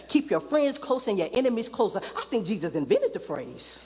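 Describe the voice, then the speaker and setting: Noticeable background noise sits behind a woman speaking at a moderate pace. Her pitch swings very widely. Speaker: preacher. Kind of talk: spoken word sermon.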